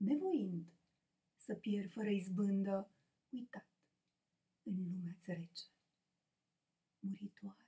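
Against a quiet background, a woman speaks very slowly with long, frequent pauses, her somewhat breathy voice dark and mellow in tone, with ordinary pitch variation. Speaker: poet reciting her own poem. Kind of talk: poetry reading. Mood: soft, reflective. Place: home room. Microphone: webcam.

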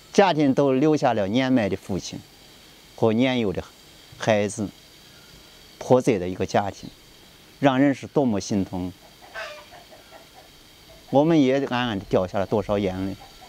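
Speaking in a Shaanxi accent at a fairly slow pace, the voice leaves long, frequent pauses and swings widely in loudness over noticeable background noise. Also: man, medium pitch for a man, ordinary pitch variation. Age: 40s. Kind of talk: personal appeal to camera.

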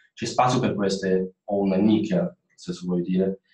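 At a moderate pace, a man speaks with a very deep, low pitch amid audible room echo. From China. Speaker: former student, industrial designer; panelist. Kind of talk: webinar talk. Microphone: video call.

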